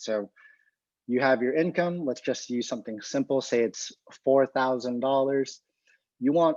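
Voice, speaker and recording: Against a quiet background, a man with an ordinary speaking voice talks at a medium pitch, the sound dry and close with no echo. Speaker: physical therapist and presenter. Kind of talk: lecture.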